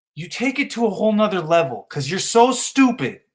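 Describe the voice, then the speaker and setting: A loud, shouting man, high-pitched, with a bright, sharp tone and lively intonation. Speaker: live streamer. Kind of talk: heated rant. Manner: loud, yelling; slow.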